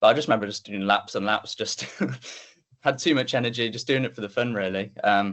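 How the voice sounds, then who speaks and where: A man speaks with a West Midlands accent. His pace is fairly quick. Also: medium pitch for a man, ordinary pitch variation. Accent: Coventry English. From English Midlands, Coventry. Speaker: athlete. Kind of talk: interview. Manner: casual, hesitant with fillers.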